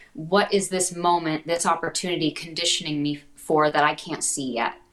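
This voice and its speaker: A woman's fairly low pitch comes through noticeable background noise. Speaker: actor. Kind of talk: casual interview chat. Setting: video call.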